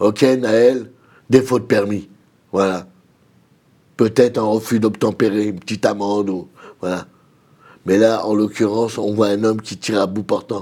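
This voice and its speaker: A man speaks at a fairly slow pace with long, frequent pauses, in a fairly low, dark, mellow voice and a flat, monotone delivery. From Nanterre, Paris region. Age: 60s. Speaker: community activist and social worker. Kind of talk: TV panel discussion.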